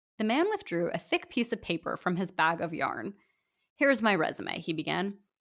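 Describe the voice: Intonation is lively in this plain reading aloud. Nothing disturbs the quiet background.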